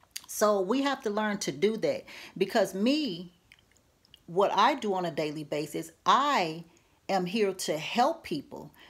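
A woman speaks at a fairly slow pace with very wide pitch swings, against a quiet background. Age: 50s. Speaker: vlogger and herbal medicine maker; vlogger giving life advice. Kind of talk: vlog monologue; casual vlog chat. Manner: repetitive, halting. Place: home room. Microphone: phone near.

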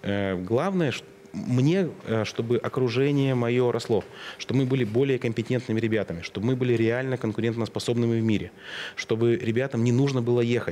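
Speaking at a fairly quick pace with very even loudness and ordinary pitch variation, this voice comes over noticeable background noise. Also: man, medium pitch for a man. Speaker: IT business owner. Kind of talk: interview conversation.

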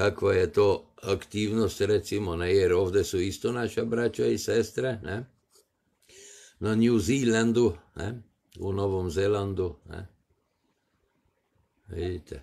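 Speaking at a very slow pace with long, frequent pauses, a man uses a dark, mellow tone, a fairly low pitch and ordinary pitch variation. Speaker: live streamer. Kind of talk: casual live stream commentary. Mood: amused, dismissive. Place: home room. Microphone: phone near.

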